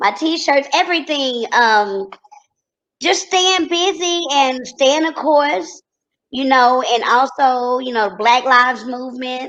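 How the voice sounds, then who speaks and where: A woman's high voice with a slight Texas accent, lively intonation and a very slow pace. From Texas, Corsicana. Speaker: TV personality and entrepreneur. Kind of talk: interview.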